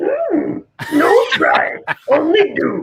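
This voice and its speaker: A man's put-on character voice, pitched extremely high. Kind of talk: odd inverted phrasing.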